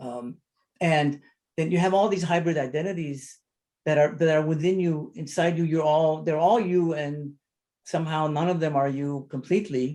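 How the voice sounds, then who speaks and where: A man with a dark, mellow tone and fairly high pitch, fairly even intonation, at a moderate pace. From Lebanon (Armenian community of Beirut). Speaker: photographer/artist. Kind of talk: panel discussion. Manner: halting, many repetitions and fillers.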